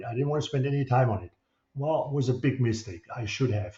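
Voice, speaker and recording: A man speaks with a German accent at a medium pitch. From Germany. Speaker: real estate broker. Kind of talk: promotional video monologue. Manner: halting.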